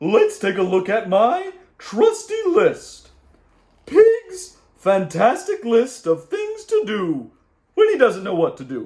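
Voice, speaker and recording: A man's put-on character voice, extremely high in pitch and at a fairly slow pace. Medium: read story. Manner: smug, matter-of-fact.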